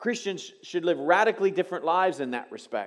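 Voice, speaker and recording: Against a quiet background, a man speaks at a high pitch. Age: 50s. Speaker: pastor. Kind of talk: sermon. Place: church. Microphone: headset.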